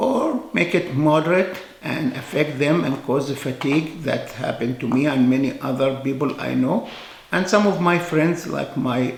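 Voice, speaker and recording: With an Egyptian accent, a man speaks at a moderate pace in a fairly high pitch with ordinary pitch variation, amid audible room echo and noticeable background noise. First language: Arabic. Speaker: physician. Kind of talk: informal talk to camera. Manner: hesitant, with fillers.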